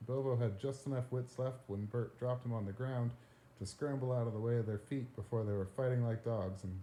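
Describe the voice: Here the speaker is doing plain reading aloud.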